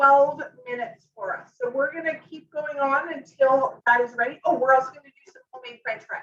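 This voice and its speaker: The tone is bright and sharp. Intonation stays fairly even. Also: woman. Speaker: cooking demonstrator, kitchen product consultant. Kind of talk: live cooking demonstration. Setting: home kitchen live stream. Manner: loud; casual, filler-heavy.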